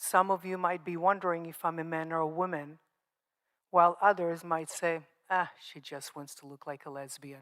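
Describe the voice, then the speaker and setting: Heard in a very clean recording with a silent background, a woman with an Israeli accent speaks at a fairly low pitch in a monotone, flat intonation. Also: moderate pace. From Israel, Moroccan family. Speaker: survivor speaker, nonprofit founder. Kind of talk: testimony. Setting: stage with audience.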